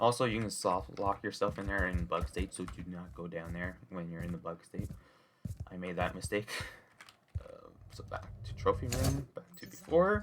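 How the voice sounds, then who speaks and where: A quiet man with a very deep, low pitch speaks at a moderate pace. His intonation is lively and his loudness swings widely. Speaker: Minecraft speedrunner. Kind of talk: gameplay commentary. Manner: quiet after the intro; hesitant, many filler words.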